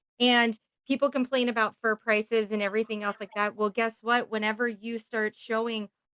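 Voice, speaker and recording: Her pitch is fairly high and her intonation monotone and flat, at a moderate pace. The woman's voice is dry and close, with no echo. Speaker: podcast host. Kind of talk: casual interview chat. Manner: loud.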